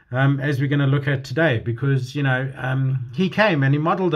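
A man speaks in a somewhat breathy voice at a moderate pace. The background is quiet. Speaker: home church preacher. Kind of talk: sermon. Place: home room. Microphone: phone near.

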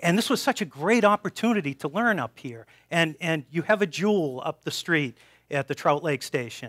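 A man speaks at a moderate pace with an American accent against a quiet background. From Boston. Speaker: professor and research institute director. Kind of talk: public science talk. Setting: stage with audience in a brewery. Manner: halting, many repeated words. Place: hall.

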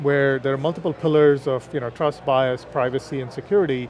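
A man's fairly high-pitched voice at a fairly quick pace, with music in the background. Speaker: consulting executive. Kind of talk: interview. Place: hall. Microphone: headset.

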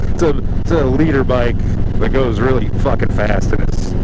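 A man is heard in a dry sound with no echo beneath loud background noise. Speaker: motorcycle vlogger. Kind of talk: casual vlog chat. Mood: relaxed, joking. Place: motorbike.

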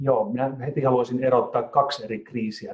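With little sound behind him, a man speaks at a moderate pace in a quiet background. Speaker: company CEO. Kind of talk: business interview. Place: home room. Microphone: video call.

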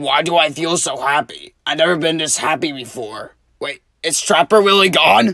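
This cartoonish character voice sits at a middle pitch and moves at a moderate pace. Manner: irritated, exasperated.

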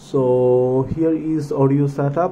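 A man with a dark, mellow tone at medium pitch, amid audible room echo

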